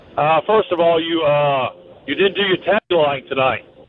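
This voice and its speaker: A man speaks with an American accent at a high pitch. His intonation stays fairly even. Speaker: caller. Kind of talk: call-in conversation. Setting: phone call.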